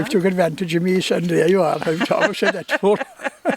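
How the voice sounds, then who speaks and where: Speaking with a West Cork accent, a man uses a high pitch and ordinary pitch variation, recorded with a dry, close sound with no echo over noticeable background noise. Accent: Irish, West Cork. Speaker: storyteller. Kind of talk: oral history interview answer.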